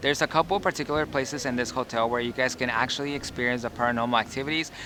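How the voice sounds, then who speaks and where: A man talks very fast at a medium pitch with ordinary pitch variation. Noticeable background noise runs underneath. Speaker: travel vlogger. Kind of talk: travel vlog narration. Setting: outdoors, hotel courtyard.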